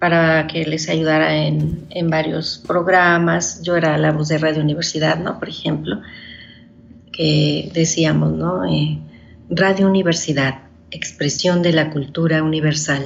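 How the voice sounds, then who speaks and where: Fairly slow speech from a woman, with audible room echo. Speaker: poet and short story writer. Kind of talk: interview. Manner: halting, with fillers.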